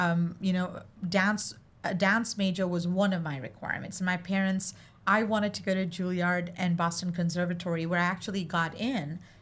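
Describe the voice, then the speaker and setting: Somewhat breathy at medium pitch, a woman speaks at a moderate pace with fairly even intonation. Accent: Indian. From India (Mumbai). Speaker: arts center executive director. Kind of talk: casual chat.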